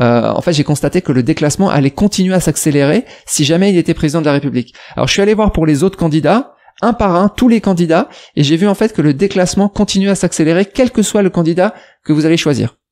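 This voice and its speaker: A high-pitched man talks at a very fast pace with lively intonation. His loudness stays very even against a quiet background. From France. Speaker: YouTuber, investment educator; expat finance youtuber. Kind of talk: reaction commentary. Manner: hesitant, many fillers. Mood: ironic, mildly sarcastic. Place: home room. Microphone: studio mic.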